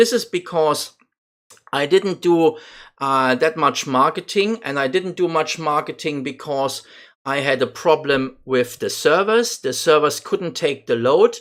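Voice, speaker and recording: A man's fairly high-pitched voice with a non-native accent, fairly slow in pace and ordinary in pitch variation, on a very clean recording with a silent background. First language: not English. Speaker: gaming YouTuber. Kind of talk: gameplay commentary. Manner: halting, many fillers.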